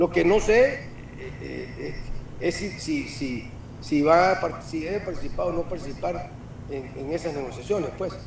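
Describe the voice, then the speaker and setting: Over noticeable background noise and audible room echo, a man with a high pitch talks at a fairly slow pace using lively intonation. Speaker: political analyst. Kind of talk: political talk show discussion. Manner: halting, repeats words.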